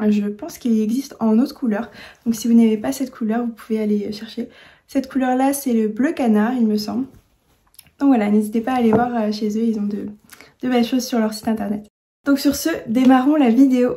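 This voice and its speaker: Her tone dark and mellow, a woman speaks at a fairly quick pace and fairly high pitch, with fairly even intonation and long, frequent pauses. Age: 20s. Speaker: sewing youtuber. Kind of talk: tutorial. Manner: hesitant, many fillers and repeats.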